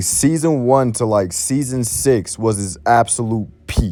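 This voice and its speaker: A man talks at a fairly slow pace. Behind him, music plays. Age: 20s. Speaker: gaming YouTuber. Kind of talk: casual gameplay commentary monologue.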